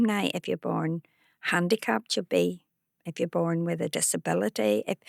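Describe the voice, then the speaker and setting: In a Belfast accent, a woman speaks at a moderate pace on a very clean recording with a silent background and a dry, close sound with no echo. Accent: Belfast Northern Irish. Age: 70s. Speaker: activist. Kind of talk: interview conversation.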